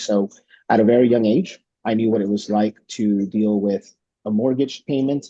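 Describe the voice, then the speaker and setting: A man talks in a Spanish accent at a fairly low pitch. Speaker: congressional candidate. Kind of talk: candidate introduction at virtual town hall. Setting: video call. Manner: hesitant, many fillers and repetitions.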